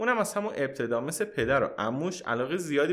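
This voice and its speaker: A man's voice carries vocal fry in a very clean recording with a silent background. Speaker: podcast host. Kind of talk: scripted narration.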